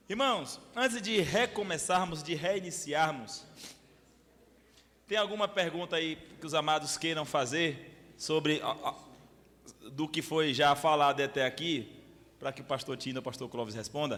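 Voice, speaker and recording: Pausing long and often, a man with fairly high pitch talks at a fairly slow pace using lively intonation. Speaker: pastor. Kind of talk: bible study lecture. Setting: church with audience. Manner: animated, hesitant repetitions.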